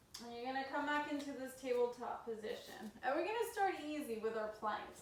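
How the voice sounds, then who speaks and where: A woman amid audible room echo. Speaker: yoga instructor. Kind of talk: guided yoga class. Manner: slow; casual.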